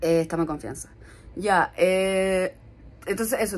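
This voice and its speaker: A woman with a Chilean accent at a fairly quick pace. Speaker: lifestyle vlogger. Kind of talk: casual vlog talk to camera. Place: home room. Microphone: phone near.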